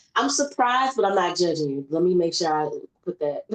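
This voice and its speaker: A woman with a Southern accent talks at a moderate pace. Her medium-pitched voice moves in very wide pitch swings. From US South, Memphis. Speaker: podcast host. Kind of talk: casual chat. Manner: animated.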